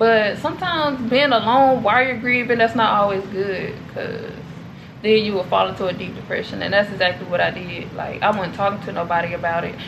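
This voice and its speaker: Over noticeable background noise, a woman talks fairly quickly with ordinary pitch variation. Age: 20s. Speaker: vlogger. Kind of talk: casual vlog Q&A. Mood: calm, reflective, personal. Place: home room. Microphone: camera far.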